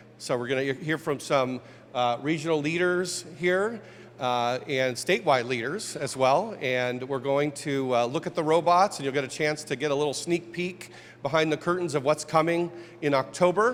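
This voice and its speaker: With an American accent, a man talks at a moderate pace in an unremarkable speaking voice, fairly high in pitch with ordinary variation. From Ohio, US Midwest. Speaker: innovation officer hosting press conference. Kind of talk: press conference introduction.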